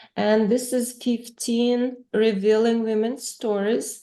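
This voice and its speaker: A woman's fairly high, dark and mellow voice with a non-native accent, at a very slow pace against a quiet background. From Ukraine. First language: Russian. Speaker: author and interviewer. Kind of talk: casual interview. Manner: halting, many fillers.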